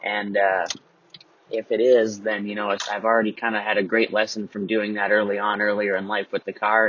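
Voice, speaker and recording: Speaking at a fairly quick pace, a man has a plain, everyday voice with a fairly low pitch. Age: 20s. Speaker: podcast host. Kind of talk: solo monologue. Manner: casual, filler-heavy.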